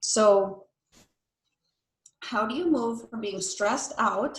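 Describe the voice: A woman with a medium-pitched voice is heard with audible room echo.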